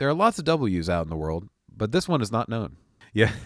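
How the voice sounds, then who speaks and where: A man's medium-pitched voice with very wide pitch swings. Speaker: streamer. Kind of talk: casual gameplay commentary.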